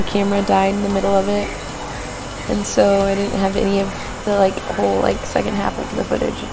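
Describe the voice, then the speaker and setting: Quiet and fairly quick, a woman's voice comes through noticeable background noise and audible room echo. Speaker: vlogger. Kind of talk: personal vlog. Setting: hospital room. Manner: quiet, hushed.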